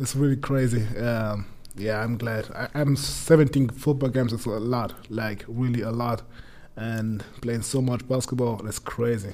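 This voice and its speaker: A man with a German accent speaks at medium pitch. His pace is fairly slow and his intonation fairly even. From Germany, Munich. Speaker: American football player. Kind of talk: casual chat. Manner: halting.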